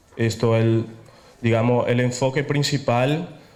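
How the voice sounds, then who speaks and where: A man with a Paraguayan accent speaks at a medium pitch and a very slow pace. Audible room echo surrounds his voice. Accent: Paraguayan Spanish lilt. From Italy, Venice. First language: Italian (speaking Spanish). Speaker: architect, lecturer. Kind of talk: lecture. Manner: hesitant, with fillers.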